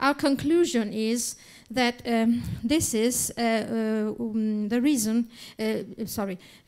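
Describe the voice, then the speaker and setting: A woman's fairly high-pitched voice with an Italian accent. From Italy. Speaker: academic lecturer. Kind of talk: reading aloud a paper. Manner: halting, many fillers.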